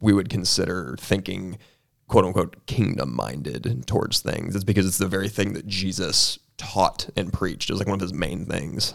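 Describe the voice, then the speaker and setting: Fairly low male voice with vocal fry. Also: very clean recording, silent background. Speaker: college ministry podcast co-host. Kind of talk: casual chat and Bible discussion.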